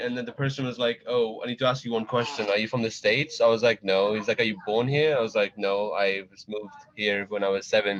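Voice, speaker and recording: A man speaks in an American accent over noticeable background noise. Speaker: youth group member. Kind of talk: casual chat.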